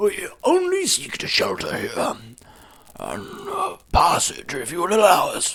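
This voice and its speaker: A man's raspy, put-on character voice at an extremely high pitch and a fairly slow pace. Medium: read story. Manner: measured, courteous.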